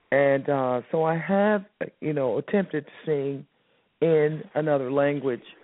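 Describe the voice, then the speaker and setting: Speaking at a fairly slow pace, a woman uses a very deep, low pitch with ordinary pitch variation and very even loudness. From US South, Miami, Florida. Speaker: jazz and soul singer. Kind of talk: interview.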